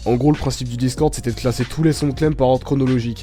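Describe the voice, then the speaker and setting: Music plays in the background as a man speaks at a very fast pace. His intonation stays fairly even. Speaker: YouTube channel owner. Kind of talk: casual monologue to viewers.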